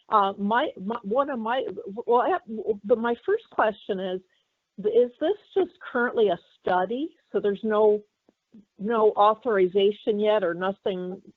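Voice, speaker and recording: With long, frequent pauses, a woman speaks at a fairly slow pace in a fairly high voice with ordinary pitch variation. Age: 60s. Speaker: resident asking questions. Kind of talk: public meeting Q&A. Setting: phone call.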